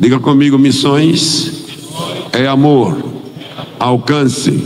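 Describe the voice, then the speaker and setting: Speaking at a very slow pace, a man with a fairly high voice is heard amid audible room echo and noticeable background noise. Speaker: missionary pastor. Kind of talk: sermon. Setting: church.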